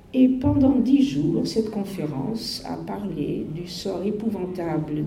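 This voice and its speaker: Very wide pitch swings come through amid noticeable background noise and audible room echo. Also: woman. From Netherlands, Amsterdam. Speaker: Holocaust survivor. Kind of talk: testimony. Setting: school talk to pupils. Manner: halting.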